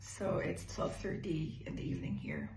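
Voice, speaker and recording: Someone speaks at a very slow pace with noticeable background noise behind them. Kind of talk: recorded birthday greeting.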